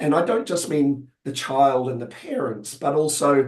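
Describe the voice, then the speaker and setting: This man speaks with a New Zealand accent. His voice is fairly high, and his pace is moderate. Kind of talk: webinar discussion. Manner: halting, many fillers.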